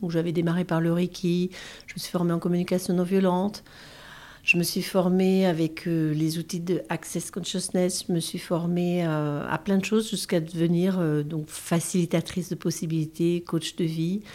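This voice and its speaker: At a moderate pace, a woman speaks with monotone, flat intonation on a very clean recording with a silent background. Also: fairly low pitch for a woman. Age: 50s. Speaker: bereaved mother. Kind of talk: testimony. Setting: in-person recording in Paris. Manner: halting.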